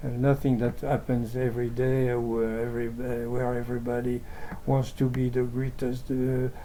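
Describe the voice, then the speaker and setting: A speaker with a French accent talks at a moderate pace in a monotone, flat intonation, with noticeable background noise and audible room echo. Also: man, medium pitch for a man. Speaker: amateur translator of religious texts. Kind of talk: reading aloud with commentary. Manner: halting.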